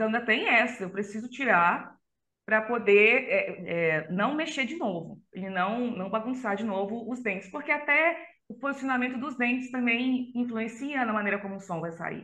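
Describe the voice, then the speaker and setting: A woman's fairly high voice at a moderate pace. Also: lively intonation. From Brazil, Belém (Pará), raised in Catalão, Goiás. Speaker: extreme metal vocalist and psychologist. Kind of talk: casual interview.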